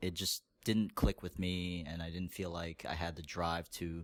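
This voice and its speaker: A man with an American accent speaks in a very deep, low voice at a fairly slow pace. His intonation is monotone and flat, on a very clean recording with a silent background. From New York area. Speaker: podcast guest. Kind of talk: casual interview. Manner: halting, many fillers.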